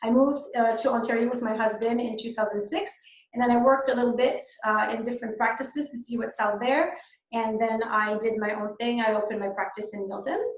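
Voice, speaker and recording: Amid audible room echo, a woman with a French Canadian accent speaks at a very fast pace and fairly high pitch, her intonation fairly even. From Quebec. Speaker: dentist. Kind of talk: webinar lecture. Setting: online webinar. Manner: hesitant, many fillers.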